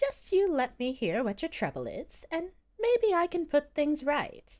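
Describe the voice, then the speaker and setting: At a moderate pace, a woman does a squeaky put-on character voice, her extremely high pitch swinging very widely. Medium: read story.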